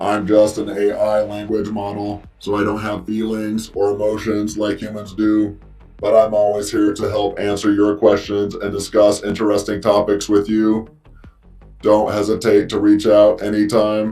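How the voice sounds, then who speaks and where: A man puts on a robotic character voice at a fairly low pitch, speaking at a moderate pace. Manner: flat, mechanical.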